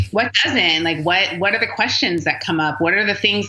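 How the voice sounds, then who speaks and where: A woman's medium-pitched voice with ordinary pitch variation over noticeable background noise. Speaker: author and speaker on race and theology. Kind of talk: interview answer. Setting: phone line.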